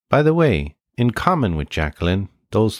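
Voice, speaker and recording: A man with an Irish accent talks at a fairly slow pace. The very clean recording has a silent background and a dry, close sound with no echo. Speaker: podcast host. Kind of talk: scripted narration.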